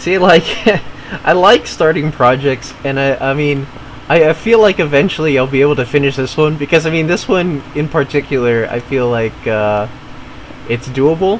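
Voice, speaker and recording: Noticeable background noise behind a man with a fairly high pitch, a moderate pace, and ordinary pitch variation. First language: not English (family language). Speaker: gaming streamer. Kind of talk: casual chat. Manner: halting, many fillers and repeats.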